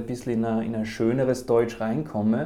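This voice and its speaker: A man's medium-pitched voice, dark and mellow in tone, with monotone, flat intonation. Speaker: career counsellor. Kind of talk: interview, advice.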